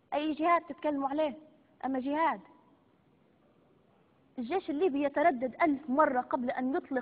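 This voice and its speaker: Speaking with a Libyan accent, a woman uses a high pitch, ordinary pitch variation and a moderate pace. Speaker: TV presenter. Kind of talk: live TV broadcast. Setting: studio. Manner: hysterical, threatening.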